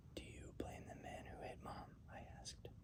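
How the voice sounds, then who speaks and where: Whispering at a fairly slow pace. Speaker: ASMR reader. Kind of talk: read story. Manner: whispered.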